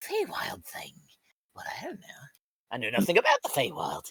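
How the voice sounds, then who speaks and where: Whispering in a put-on character voice, the speaker goes at a moderate pace. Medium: actual play.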